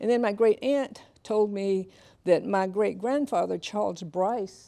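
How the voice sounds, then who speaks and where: With an Alabama accent, a woman talks at a moderate pace. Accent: Southern US (Alabama). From US South, Tuskegee, Alabama. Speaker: author and keynote speaker. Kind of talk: lecture.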